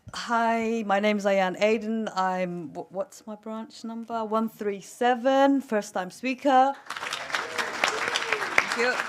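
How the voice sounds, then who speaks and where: With crowd noise in the background, a woman talks at a very slow pace with hardly any pauses and big swings in loudness. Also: fairly high pitch for a woman, ordinary pitch variation. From Somalia. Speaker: trade union delegate. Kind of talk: conference speech, personal story.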